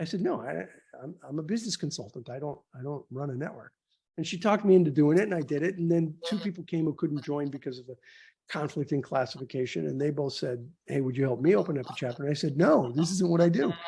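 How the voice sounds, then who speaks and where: A man talks at a very fast pace with a fairly high pitch and ordinary pitch variation, his tone dark, mellow and somewhat breathy. The recording is very clean with a silent background. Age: 60s. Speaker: business networking organization founder. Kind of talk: interview conversation. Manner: halting, repeats words.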